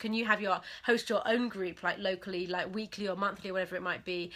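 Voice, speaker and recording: Her tone bright, sharp and animated, a woman talks at a very fast pace. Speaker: business coach. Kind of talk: live webinar masterclass. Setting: Facebook live stream.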